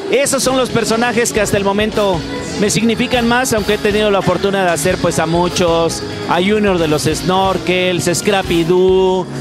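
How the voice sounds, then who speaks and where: Clear music plays behind a man whose voice sounds dry, with no echo. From Mexico. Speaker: voice actor and dubbing director. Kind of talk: interview answer. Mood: calm, reflective. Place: home room. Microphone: handheld.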